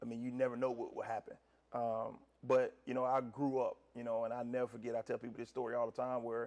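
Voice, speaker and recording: Someone with a North Carolina accent talks at a very fast pace in a monotone, flat intonation. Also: man, medium pitch for a man. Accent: US Southern (North Carolina). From North Carolina (Gastonia). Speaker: college basketball head coach. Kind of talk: interview. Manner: loud.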